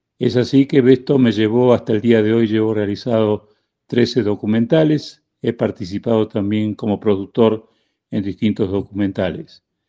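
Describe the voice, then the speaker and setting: Against a quiet background, a man with a dark, mellow tone and medium pitch speaks at a moderate pace with fairly even intonation. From Argentina. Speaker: documentary filmmaker and record label founder. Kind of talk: interview.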